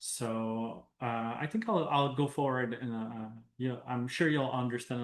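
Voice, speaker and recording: A man in a Quebec accent, at a fairly slow pace and with fairly even intonation. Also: quiet background. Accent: French-Canadian accent in English. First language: French. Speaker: professor and researcher. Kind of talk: academic presentation. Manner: hesitant, many fillers.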